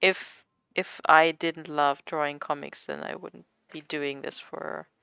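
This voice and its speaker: Speaking with a non-native accent, a woman uses a very deep, low pitch, a fairly slow pace and monotone, flat intonation. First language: not English. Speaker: comic artist streamer. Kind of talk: casual livestream chat while drawing. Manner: halting, stumbles over words.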